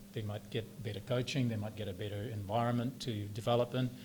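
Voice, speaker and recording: Somewhat breathy, a man with a New Zealand accent talks at a fairly quick pace with ordinary pitch variation. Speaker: club founding life member. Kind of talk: interview.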